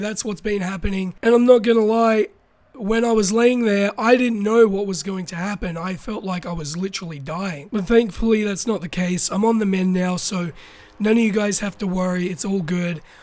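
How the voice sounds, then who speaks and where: A man with an Australian accent talks at a moderate pace. His voice sits high in pitch, with ordinary pitch variation. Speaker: YouTuber. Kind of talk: casual talk to camera.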